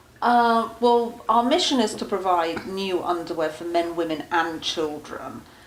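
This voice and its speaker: A woman with an English accent at a medium pitch, with lively intonation, a fairly slow pace, hardly any pauses, and noticeable background noise. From England. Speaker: charity founder. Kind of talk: interview.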